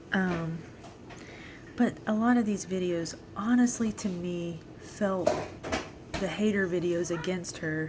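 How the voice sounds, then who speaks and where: Quietly whispering at a very slow pace with long, frequent pauses, a woman is heard over noticeable background noise and audible room echo. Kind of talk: casual vlog monologue. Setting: at home at the computer. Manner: whispering, quiet; halting, many fillers.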